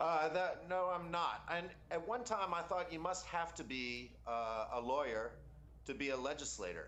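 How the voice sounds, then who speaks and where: With an American accent and lively intonation, a man speaks at a high pitch amid audible room echo. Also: moderate pace. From Louisiana, New Orleans. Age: 30s. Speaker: congressional candidate. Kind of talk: interview.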